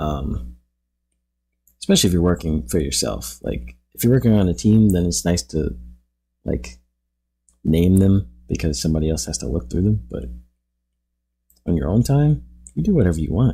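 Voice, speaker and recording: Speaking with an American accent at a moderate pace, the voice has a relaxed tone and long, frequent pauses on a very clean recording with a silent background. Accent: New York accent, slips out at times. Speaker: artist streaming while painting. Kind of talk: casual livestream chat while drawing. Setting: live stream at home drawing table. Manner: relaxed, many fillers like um.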